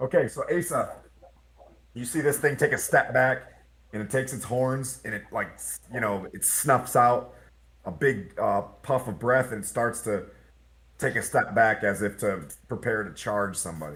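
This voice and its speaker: The voice shows vocal fry and big swings in loudness. It moves at a moderate pace with ordinary pitch variation. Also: man, medium pitch for a man. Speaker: game master. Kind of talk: tabletop game narration. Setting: live stream.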